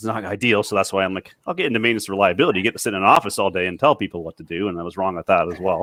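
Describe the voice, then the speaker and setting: With hardly any pauses, a man rattles along at a very fast pace in a fairly low voice with ordinary pitch variation. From Canada. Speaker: maintenance reliability technology director. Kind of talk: panel discussion.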